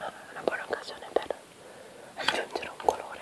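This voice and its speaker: Amid noticeable background noise, a woman whispers. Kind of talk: ASMR clothing show-and-tell, casual talk to camera. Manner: whispered, soft-spoken, relaxing.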